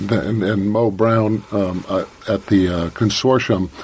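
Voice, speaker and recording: The speaker has an American accent and fairly even intonation. Noticeable background noise can be heard. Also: man. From coastal Maine (Eastport), US. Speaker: whale watch naturalist. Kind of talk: radio interview. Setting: radio studio.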